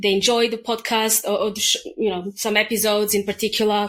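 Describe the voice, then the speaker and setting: Here a woman speaks with a Serbian accent at a medium pitch. She keeps a moderate pace. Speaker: English teacher and podcaster. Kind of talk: casual interview chat.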